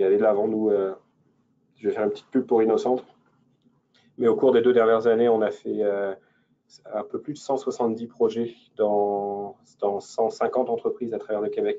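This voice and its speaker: Pausing often and at length, a man keeps a moderate pace. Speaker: innovation investment advisor. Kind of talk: webinar presentation. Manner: halting, many fillers and repetitions.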